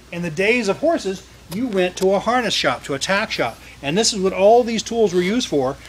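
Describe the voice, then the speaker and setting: Fairly quick, high-pitched male speech with ordinary pitch variation over noticeable background noise. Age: 50s. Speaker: museum tour guide. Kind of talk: guided tour for school children. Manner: loud.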